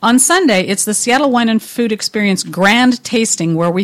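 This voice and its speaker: A woman with a plain, everyday voice talks at a moderate pace. Her pitch is fairly high and her intonation lively. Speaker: wine and food event organizer. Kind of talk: casual chat.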